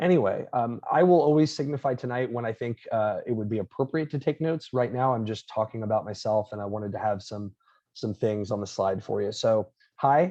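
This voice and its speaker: Over a quiet background, a man with a slight Long Island accent speaks at a fairly quick pace, his medium-pitched voice dark and mellow in tone. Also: ordinary pitch variation. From Florida. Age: 30s. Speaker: professor. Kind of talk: lecture.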